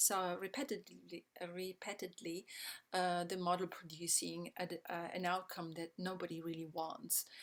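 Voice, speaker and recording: A woman speaks with an Italian accent. Her pitch is medium and her pace moderate. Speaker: systems change educator. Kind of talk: online presentation. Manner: hesitant, many fillers.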